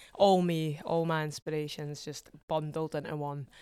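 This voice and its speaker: With an Edinburgh accent, a woman speaks very slowly at a very deep, low pitch and in a flat monotone. The recording is very clean, with a silent background. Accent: Scottish (Edinburgh). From Scotland, Edinburgh. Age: 20s. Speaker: singer-songwriter. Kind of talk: casual chat.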